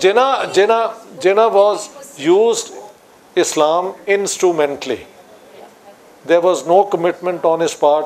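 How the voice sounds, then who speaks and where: With a Pakistani Punjabi accent, a man talks at a high pitch. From Pakistan, Lahore. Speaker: political scientist; guest. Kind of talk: public discussion on stage. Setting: stage with audience. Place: studio.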